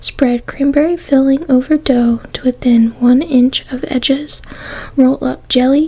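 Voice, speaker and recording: Soft-spoken and whispering, the voice moves at a very slow pace over noticeable background noise. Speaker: ASMR creator. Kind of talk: ASMR magazine reading. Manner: soft-spoken, whispered.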